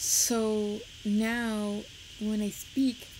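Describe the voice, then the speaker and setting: Noticeable background noise surrounds a woman's voice. She speaks at a fairly high pitch in a flat monotone. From Puerto Rico. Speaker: streamer. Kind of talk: casual live stream chat. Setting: live stream with webcam.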